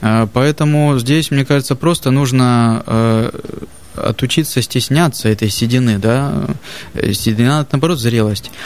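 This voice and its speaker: A man talks at a fairly slow pace and medium pitch, with ordinary pitch variation. His loudness stays very even, and there is noticeable background noise. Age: 30s. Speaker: barber. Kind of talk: casual chat.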